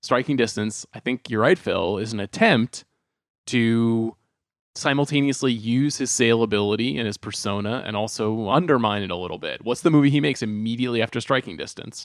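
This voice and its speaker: A man with an American accent talks at a fairly quick pace and medium pitch, with ordinary pitch variation, in an ordinary speaking voice. The recording is very clean and dry, with a silent background and no echo. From Long Island, New York. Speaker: film podcast host. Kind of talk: casual chat.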